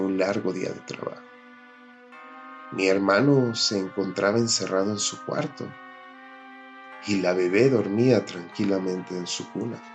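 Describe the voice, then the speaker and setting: Against music in the background, a man with a fairly low pitch talks at a fairly slow pace, with fairly even intonation and long, frequent pauses. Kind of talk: horror story narration.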